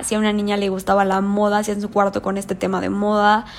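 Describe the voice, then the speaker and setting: A woman's animated voice at a medium pitch. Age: 20s. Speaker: podcast host, interior architect. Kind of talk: solo monologue podcast.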